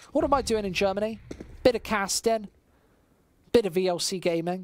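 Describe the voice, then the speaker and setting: A woman talks at a fairly quick pace with a British accent. Her pitch varies in an ordinary way. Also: medium pitch for a woman. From England, West Midlands. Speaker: esports commentator. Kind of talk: live commentary.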